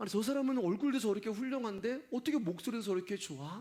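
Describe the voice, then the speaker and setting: A man shouting, loud, with very wide pitch swings. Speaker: pastor. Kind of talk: sermon. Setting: church service. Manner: gets loud, shouts while preaching.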